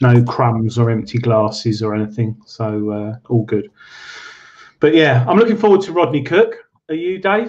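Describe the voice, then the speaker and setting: A man's medium-pitched voice, with lively intonation at a moderate pace. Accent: English. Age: 30s. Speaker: metal detecting show co-host. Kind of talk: casual chat.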